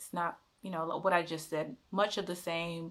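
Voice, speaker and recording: Pitch varies in an ordinary way. The words come with an American accent. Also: woman. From United States. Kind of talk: casual talk to camera.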